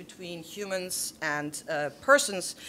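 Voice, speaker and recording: Her tone bright and sharp, a woman with a German accent talks at medium pitch with lively intonation. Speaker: theologian and panelist. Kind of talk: panel discussion. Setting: auditorium with audience. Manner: halting with frequent restarts.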